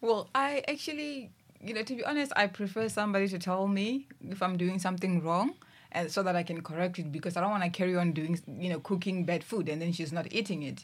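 Her intonation is full of life. The woman's pace is very fast. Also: medium pitch for a woman. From Limpopo, South Africa. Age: 20s. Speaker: mission administrator. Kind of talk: casual chat. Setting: studio.

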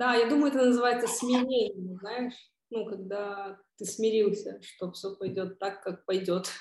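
The speaker has a plain, everyday voice and talks at a fairly slow pace. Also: woman, fairly high pitch for a woman, fairly even intonation. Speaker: podcast host. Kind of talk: casual interview chat.

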